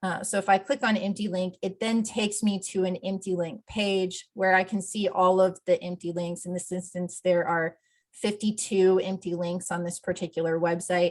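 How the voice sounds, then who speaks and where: Her medium-pitched voice moves at a moderate pace with hardly any pauses and a monotone, flat intonation. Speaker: accessibility plugin developer presenting a tool. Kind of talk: software demo presentation.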